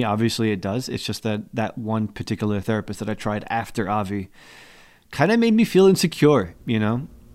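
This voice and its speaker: A plain, everyday voice: a man with an American accent talks at a fairly quick pace and a fairly low pitch in a very clean recording with a silent background. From US Northeast, Newark, New Jersey. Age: 30s. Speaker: podcast host. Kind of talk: casual chat. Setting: studio.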